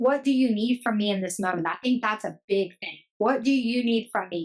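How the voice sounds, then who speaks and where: A woman talks at a fairly high pitch with ordinary pitch variation. Hers is an unremarkable speaking voice. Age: 30s. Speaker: teacher. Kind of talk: casual chat. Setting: podcast.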